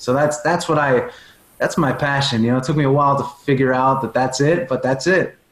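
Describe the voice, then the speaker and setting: A man speaks in a strong Long Island accent at a fairly high pitch. His voice is somewhat breathy. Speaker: performance coach and speaker. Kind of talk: podcast interview.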